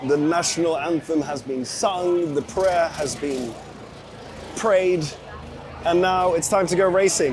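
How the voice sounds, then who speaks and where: Over noticeable background noise, a man with a high voice talks at a fairly slow pace with ordinary pitch variation. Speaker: vlogger, F1 fan at a race. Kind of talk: travel vlog. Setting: outdoors at a racetrack.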